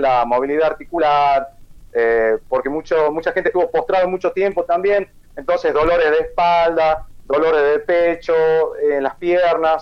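The speaker is a man with a high-pitched voice. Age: 40s. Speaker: physical education teacher. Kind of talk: interview.

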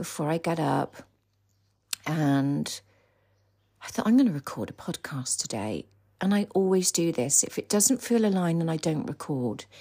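A woman speaks at a moderate pace in a dark, mellow tone, with very wide pitch swings. Long pauses break up her speech often. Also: fairly low pitch for a woman, very clean recording, silent background. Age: 50s. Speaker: embodiment and healing coach, podcast host. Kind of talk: motivational solo monologue. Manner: animated.

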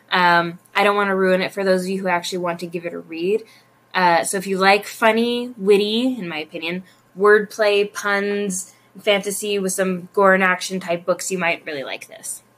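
At a moderate pace, a woman talks at a medium pitch with fairly even intonation and big swings in loudness. Noticeable background noise runs behind her. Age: 30s. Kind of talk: casual chat; podcast monologue.

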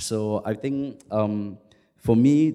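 A man with a Singaporean accent speaks at a fairly low pitch with ordinary pitch variation and a dark, mellow tone, recorded very cleanly against a silent background. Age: 20s. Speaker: spoken word poet. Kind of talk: panel discussion. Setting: stage with audience.

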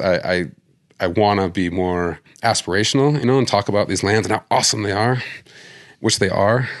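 A fairly low-pitched man with a western US accent, at a fairly quick pace, against a quiet background. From Montana, US (Missoula). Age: 40s. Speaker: conservation group leader. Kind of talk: interview. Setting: in person, face-to-face.

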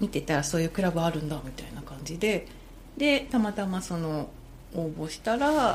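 Somewhat breathy and fairly low in pitch, a woman's voice moves through very wide pitch swings and big swings in loudness. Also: moderate pace. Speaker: trail runner. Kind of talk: casual chat.

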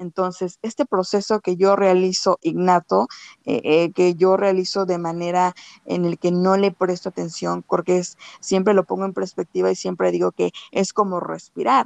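A woman's medium-pitched voice at a moderate pace, fairly even in intonation, with a dry, close sound and no echo. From Mexico. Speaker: podcast host. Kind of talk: casual chat.

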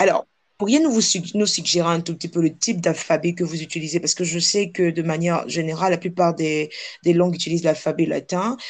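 Against a quiet background, a woman with a West African accent talks at a fairly quick pace. Her pitch is fairly low and her intonation fairly even. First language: Ewe (speaking French). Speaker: podcast host. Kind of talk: interview.

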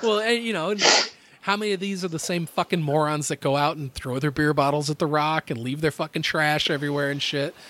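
Using a plain, everyday voice, a man talks at a fairly quick pace in a fairly high pitch with ordinary pitch variation. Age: 30s. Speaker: podcast host. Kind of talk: casual chat.

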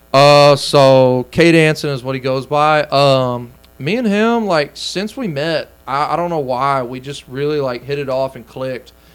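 With a Texan accent, a man with a fairly high pitch speaks with hardly any pauses over noticeable background noise. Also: ordinary pitch variation, fairly slow pace. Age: 20s. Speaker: country musician. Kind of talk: interview. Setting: radio studio.

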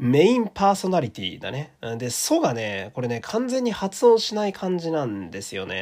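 Pitch swings very widely as this man talks. His pace is moderate. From Japan, Fukui. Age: 30s. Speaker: podcaster. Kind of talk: casual chat with listener mail.

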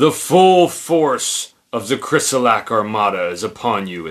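A man speaks at a medium pitch in a booming, put-on character voice. His pace is fairly slow.

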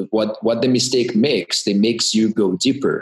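The voice carries a Portuguese accent. Its pace is moderate. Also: man. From Brazil, Rio de Janeiro. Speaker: graphic designer and typographer. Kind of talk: interview. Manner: halting.

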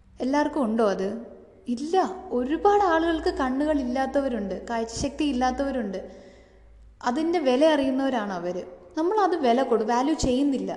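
The intonation is lively throughout. There is audible room echo along with noticeable background noise. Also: woman, high pitch for a woman. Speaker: podcaster. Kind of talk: reflective motivational monologue.

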